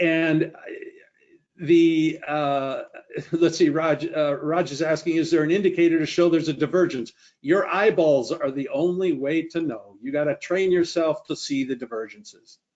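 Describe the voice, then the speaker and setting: A plain, everyday voice from a man, fairly high-pitched, with fairly even intonation and a moderate pace. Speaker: trading educator presenting a webinar. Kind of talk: webinar presentation and Q&A. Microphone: unstable internet connection.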